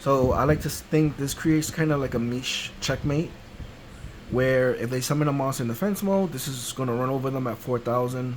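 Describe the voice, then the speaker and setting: A man speaks at a medium pitch with ordinary pitch variation. Noticeable background noise is present. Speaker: card game content creator. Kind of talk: tutorial.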